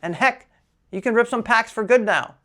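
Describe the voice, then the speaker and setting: The speaker has a slight New Jersey accent on a very clean recording with a silent background. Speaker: Pokémon card collector YouTuber. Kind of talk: casual vlog talk to camera. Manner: casual, filler-heavy.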